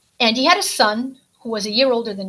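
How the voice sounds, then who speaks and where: In a Portuguese accent, a woman speaks at a fairly quick pace. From US, Portuguese-speaking immigrant community. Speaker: ex-cult member, author. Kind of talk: testimony.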